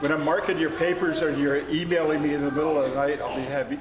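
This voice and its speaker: A man's fairly high voice keeps a mostly level intonation while noticeable background noise plays underneath. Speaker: storyteller. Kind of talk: oral storytelling to a live family audience. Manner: conversational, hesitant.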